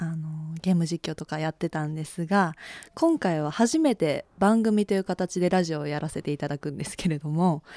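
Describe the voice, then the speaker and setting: A woman with a fairly low pitch and a dark, mellow tone speaks at a moderate pace with ordinary pitch variation, in a dry, close sound with no echo. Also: very clean recording, silent background. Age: 20s. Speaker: radio personality. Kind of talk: casual radio talk. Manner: shaky voice.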